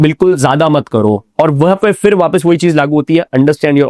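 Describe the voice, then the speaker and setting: A man speaks at a moderate pace with a fairly high pitch and a dark, mellow tone. The sound is dry and close, with no echo. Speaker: radio professional, event anchor, storyteller. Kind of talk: interview answer. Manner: casual, conversational.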